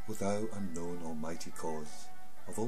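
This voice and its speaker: A man speaks at a fairly low pitch with ordinary pitch variation. Music plays clearly in the background. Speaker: poetry reciter. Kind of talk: poetry reading. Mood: solemn, earnest. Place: home room. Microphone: webcam.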